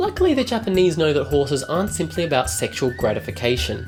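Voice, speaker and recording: With music in the background, a man speaks in an Australian accent. His pace is very fast. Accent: thick Australian. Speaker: travel vlogger. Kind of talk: comedic travel narration.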